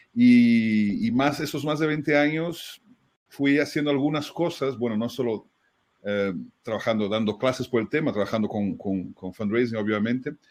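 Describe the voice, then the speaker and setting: Here a man speaks at a medium pitch. His pace is moderate, with ordinary pitch variation. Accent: Brazilian. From Brazil. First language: Portuguese (speaking Spanish). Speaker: fundraising consultant, writer. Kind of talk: webinar conversation. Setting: online webinar.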